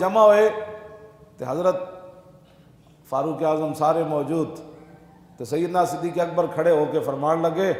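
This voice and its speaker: A man with a high pitch and fairly even intonation amid noticeable background noise. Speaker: Islamic scholar. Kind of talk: religious sermon.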